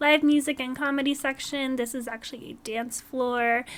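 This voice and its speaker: A woman is speaking. Her voice is high in pitch. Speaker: gaming YouTuber. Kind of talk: game build tour commentary. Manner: casual, chatty.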